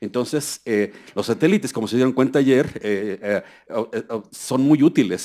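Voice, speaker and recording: Against a quiet background, a man speaks at a moderate pace. His pitch is medium, with ordinary variation. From Mexico. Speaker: environmental scientist giving a keynote; seminar lecturer. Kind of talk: conference lecture. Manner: halting, many fillers. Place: hall. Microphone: podium.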